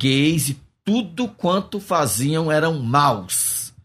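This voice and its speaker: Very slow speech from a man with a fairly high pitch and very wide pitch swings, on a very clean recording with a silent background. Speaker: pastor and missionary. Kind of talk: interview testimony.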